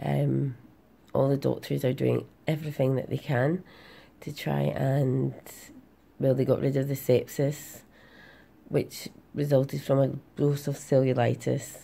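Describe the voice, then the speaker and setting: A woman's fairly slow speech is broken by long, frequent pauses. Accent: Glasgow. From Glasgow, Scotland. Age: 30s. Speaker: patient sharing her health journey. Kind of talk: casual talk to camera. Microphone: phone near.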